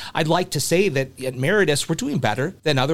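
A man speaks very fast with a Midwestern American accent. His intonation is lively. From US Midwest, small rural town. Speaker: hospital HR executive. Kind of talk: interview.

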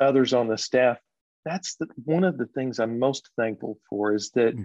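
A plain, everyday voice with an American accent goes at a moderate pace with ordinary pitch variation. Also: man. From Texas. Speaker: associate pastor. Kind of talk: casual chat.

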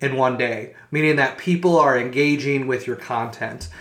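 Against audible room echo, a man with a fairly high pitch and a bright, sharp tone talks at a fairly slow pace. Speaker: podcast host. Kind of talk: educational monologue. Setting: home recording.

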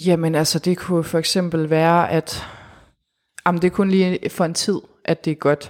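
A woman talks at a fairly low pitch and moderate pace, with monotone, flat intonation, very even loudness and long, frequent pauses. The recording is very clean, with a silent background. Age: 20s. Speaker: guest sharing life with PTSD. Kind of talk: personal testimony interview. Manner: hesitant, many fillers.

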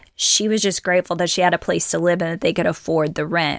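A woman speaks with vocal fry and fairly even intonation. The recording is very clean and dry, close with no echo, against a silent background. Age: 40s. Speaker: podcast host. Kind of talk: solo monologue.

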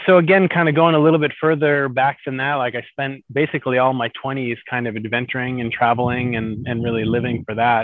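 Fairly quick speech with an American accent and little pitch movement. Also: man.

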